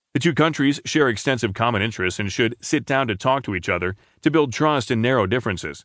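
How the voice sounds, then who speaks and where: Over a quiet background, a man of medium pitch talks at a very fast pace with lively intonation. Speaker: newspaper audio narrator. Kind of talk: news reading, scripted narration of newspaper articles. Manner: formal, measured and even-paced; steady, neutral newsreader delivery.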